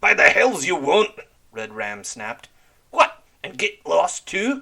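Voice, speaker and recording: Growling in a put-on character voice, a man projects loudly at a fairly slow pace. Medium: read story. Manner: growling, curt.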